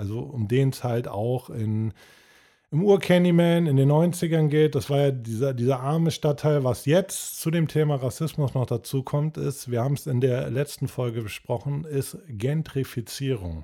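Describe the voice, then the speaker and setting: Speaking at a fairly slow pace, a man with a fairly high pitch and a dark, mellow tone shows ordinary pitch variation. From Cologne, Rhineland, Germany. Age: 30s. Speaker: podcast co-host. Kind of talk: casual chat.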